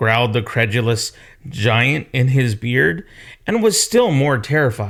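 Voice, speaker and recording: Here is a man with a normal speaking voice at a medium pitch. He talks at a fairly slow pace with ordinary pitch variation. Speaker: storyteller reading aloud to children. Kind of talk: children's story read-aloud.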